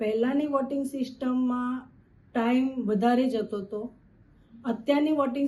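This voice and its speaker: A woman speaks in a high pitch with a dark, mellow tone. Her intonation stays fairly even. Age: 50s. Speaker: voter interviewed on the street. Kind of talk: vox pop interview.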